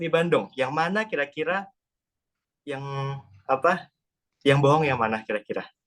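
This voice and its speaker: Long, frequent pauses break up a man's speech, his fairly high voice carrying lively intonation. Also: moderate pace. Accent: Sundanese. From Central Java (Salatiga). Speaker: student. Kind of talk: class presentation. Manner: hesitant, many fillers.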